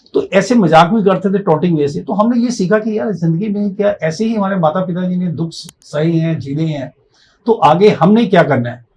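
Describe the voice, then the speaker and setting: Speaking at a moderate pace, a man uses a high pitch. His pitch varies in an ordinary way. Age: 60s. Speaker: motivational speaker and life coach. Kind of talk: podcast interview, personal story.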